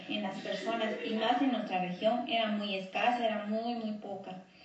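A woman speaks fairly slowly in a fairly high voice with ordinary pitch variation. The room echo is audible. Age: 40s. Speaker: fitness instructor and runner. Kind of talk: testimony. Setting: pre-recorded audio message. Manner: halting.

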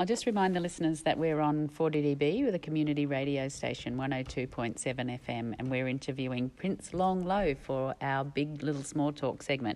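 The speaker has an Australian accent and talks at a fairly quick pace. There are hardly any pauses, and pitch varies in an ordinary way. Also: woman, very deep, low pitch for a woman. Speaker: podcast host. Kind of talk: interview.

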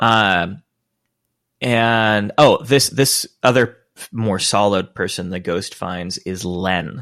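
Ordinary pitch variation in a plain, everyday voice, on a very clean recording with a silent background. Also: man. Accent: American. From US Pacific Northwest, Spokane, Washington. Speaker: podcast co-host. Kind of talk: casual chat.

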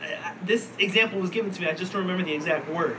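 A man speaks very fast in a high, raised and projected voice. Noticeable background noise runs behind him. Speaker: podcast host. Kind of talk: casual banter podcast chat. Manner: profane, rambling, halting.

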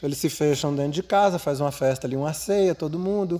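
A man talks at a very fast pace. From Brasília, Brazil. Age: 50s. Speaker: spiritual ceremony facilitator. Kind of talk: casual storytelling chat. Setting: geodesic dome ceremony space.

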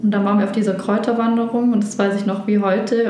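A woman with a fairly high pitch talks at a fairly quick pace, with audible room echo and noticeable background noise. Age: 20s. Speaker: former gambling addict. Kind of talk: testimony.

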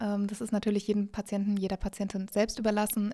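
Medium-pitched speech from a woman, dark and mellow in tone. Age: 20s. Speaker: person living with multiple sclerosis. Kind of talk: interview answers.

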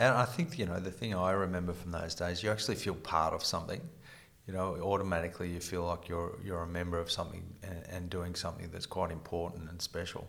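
A man speaks very fast with an Australian accent. His pitch is very deep and low, and his intonation stays fairly even. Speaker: retired police detective, podcast host. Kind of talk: interview.

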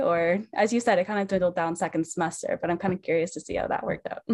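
Over a quiet background, a woman with a normal speaking voice talks at medium pitch with ordinary pitch variation. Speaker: student podcast host. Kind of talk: interview.

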